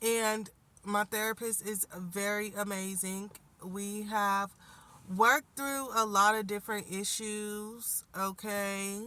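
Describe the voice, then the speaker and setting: A bright, sharp tone in monotone, flat intonation at a very slow pace. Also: woman, medium pitch for a woman. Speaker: life coach and spiritual healer. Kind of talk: casual vlog update. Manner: conversational, many fillers.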